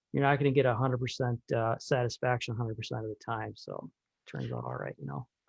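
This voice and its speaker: A man with an Upper Midwest US accent talks at a very fast pace, with big swings in loudness. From Minnesota. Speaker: electronics repair technician. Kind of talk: casual interview chat. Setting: video call.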